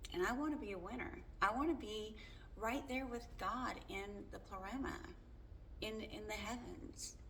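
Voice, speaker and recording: With audible room echo and noticeable background noise, a woman speaks at a very slow pace with lively intonation. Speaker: faith vlogger. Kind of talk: casual monologue. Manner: loud; halting.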